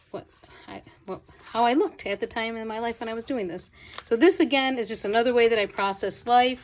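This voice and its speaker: Against noticeable background noise, a woman speaks at a fairly quick pace. Her fairly high voice shows ordinary pitch variation and big swings in loudness. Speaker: journaling hobbyist vlogger. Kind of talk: show and tell.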